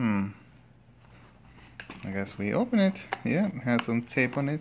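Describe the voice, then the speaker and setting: A man speaks with very wide pitch swings. Noticeable background noise can be heard. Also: medium pitch for a man, moderate pace. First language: Spanish. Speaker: product reviewer, father. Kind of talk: casual product review.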